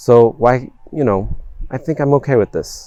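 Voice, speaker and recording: A man with an American accent speaks at a fairly slow pace. The sound is dry and close with no echo, and music plays in the background. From south-eastern Pennsylvania, USA. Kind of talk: interview answer.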